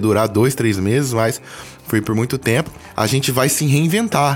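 A man's voice with noticeable background noise. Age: 30s. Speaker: musician and graphic designer. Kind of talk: casual interview. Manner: animated.

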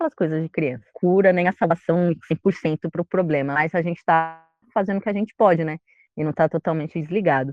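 A woman talks at a fairly quick pace in a plain, everyday voice, pitched fairly low with ordinary pitch variation. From São Paulo, Brazil. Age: 20s. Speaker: librarian and environmental collective member. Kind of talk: casual interview chat.

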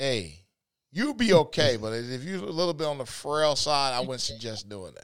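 An ordinary speaking voice from a man with an American accent, fairly high in pitch, with lively intonation, big swings in loudness and a moderate pace, on a very clean recording with a silent background. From Detroit, US. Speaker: podcast co-host. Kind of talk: casual podcast chat.

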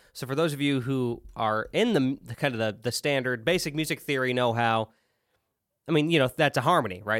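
A man with a normal speaking voice and a fairly high pitch talks at a moderate pace with lively intonation on a very clean recording with a silent background. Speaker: podcast host. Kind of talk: casual banter, comedy skit.

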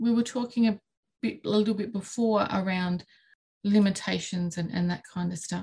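A woman talks at a moderate speed, her somewhat breathy voice keeping a fairly even intonation. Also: medium pitch for a woman. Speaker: podcast host. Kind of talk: casual chat.

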